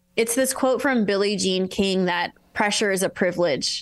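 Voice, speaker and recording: A woman speaks at a moderate pace and a medium pitch, with ordinary pitch variation, against a quiet background. It is an ordinary speaking voice. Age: 30s. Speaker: author and speaker. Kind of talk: interview.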